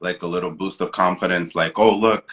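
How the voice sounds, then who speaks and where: A man talks at a moderate pace with a very deep, low pitch. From Dominican Republic, raised in the US from age three. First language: Spanish. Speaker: actor and children's show creator. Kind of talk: interview, casual chat. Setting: live social media broadcast.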